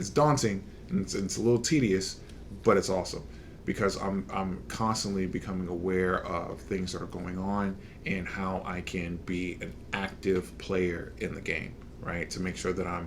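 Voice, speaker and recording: Audible room echo surrounds a man whose very deep, low voice moves at a moderate pace. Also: ordinary pitch variation. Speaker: podcast host. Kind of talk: casual chat. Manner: hesitant, halting.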